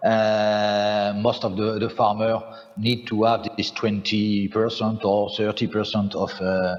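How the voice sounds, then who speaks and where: With a French accent, a man of fairly low pitch speaks at a very slow pace over noticeable background noise. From France. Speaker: farmer, farm representative. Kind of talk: panel discussion. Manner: halting, many fillers.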